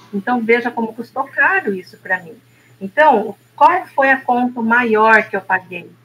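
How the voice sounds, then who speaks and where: A woman talks at a fairly slow pace with ordinary pitch variation while noticeable background noise fills the recording. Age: 60s. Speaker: therapist. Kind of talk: casual chat.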